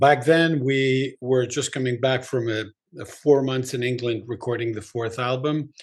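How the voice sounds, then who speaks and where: Against a quiet background, a man talks in an unremarkable speaking voice at medium pitch and a moderate pace, with ordinary pitch variation. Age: 60s. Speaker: rock musician. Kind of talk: interview.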